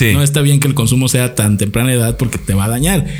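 Noticeable background noise sits behind a man's medium-pitched voice. He speaks at a fairly quick pace with ordinary pitch variation. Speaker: comedian. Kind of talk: casual chat.

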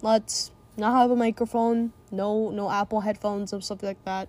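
A woman's fairly high, dark, mellow voice at a moderate pace, with monotone, flat intonation. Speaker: solo podcaster. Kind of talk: casual monologue. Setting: recording in a closet at home. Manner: quiet, keeping voice down.

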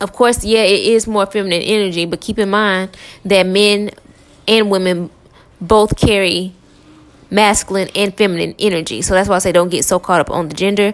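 A woman speaks at a moderate pace with a medium pitch. Her tone is warm. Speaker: tarot reader. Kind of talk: casual tarot reading podcast. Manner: casual, filler words, warm; energetic.

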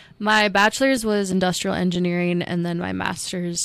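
A woman speaks with a Midwestern American accent. Her pace is fairly quick. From Iowa (Ames). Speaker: basketball coach. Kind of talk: interview.

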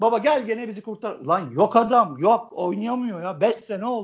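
A man talks at a moderate pace. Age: 40s. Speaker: football fan commentator. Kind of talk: casual football talk. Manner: animated.

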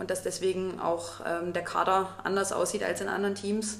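Speaking at a moderate pace and medium pitch, a woman keeps a monotone, flat intonation. Audible room echo and noticeable background noise are present. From Saxony, Vogtland (Plauen), Germany. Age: 30s. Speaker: podcast co-host, teacher. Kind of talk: casual chat.

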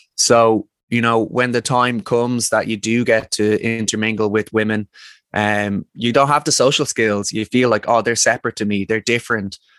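In a very clean recording with a silent background and a dry, close sound with no echo, a man with a Dublin accent speaks at a moderate pace in a medium pitch with monotone, flat intonation. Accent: Dublin Irish. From Ireland, Dublin. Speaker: men's work facilitator. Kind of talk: casual interview conversation.

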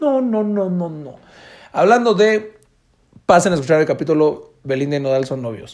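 A man with a Mexican accent speaks at a high pitch and a moderate pace, in an animated tone with very wide pitch swings and big swings in loudness. Long, frequent pauses break up his speech. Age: 20s. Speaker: podcast host. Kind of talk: casual monologue.

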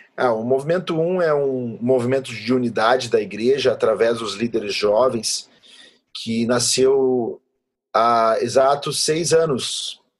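A plain, everyday voice from a man, medium in pitch with ordinary pitch variation, at a fairly slow pace. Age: 30s. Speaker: pastor. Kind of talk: interview conversation.

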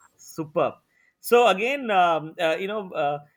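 In a very clean recording with a silent background, a man with a high voice speaks at a fairly slow pace. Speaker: professor and filmmaker. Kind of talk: interview. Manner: hesitant, many fillers.

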